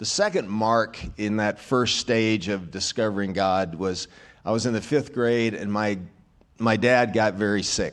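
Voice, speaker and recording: Speaking at a fairly slow pace against a quiet background, a man with an American accent has a plain, everyday voice, a fairly low pitch and fairly even intonation. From US South, rural Arkansas. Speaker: minister. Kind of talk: testimony. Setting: church.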